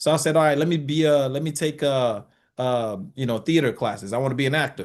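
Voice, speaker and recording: A fairly high-pitched man talking at a very fast pace against a quiet background. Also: ordinary pitch variation. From Nigeria. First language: French. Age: 30s. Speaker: barber. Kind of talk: interview. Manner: casual, many fillers.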